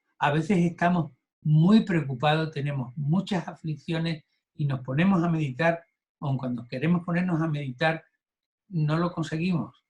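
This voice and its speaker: With ordinary pitch variation and a fairly high pitch, a man talks at a moderate pace. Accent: Andalusian. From Andalusia, southern Spain. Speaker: Buddhism course teacher. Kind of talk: lecture. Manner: halting, with fillers and repetitions.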